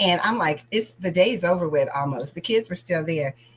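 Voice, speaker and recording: Loud and animated, a woman speaks at a moderate pace with very wide pitch swings over noticeable background noise. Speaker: crafting channel host and school staff. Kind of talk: casual chat.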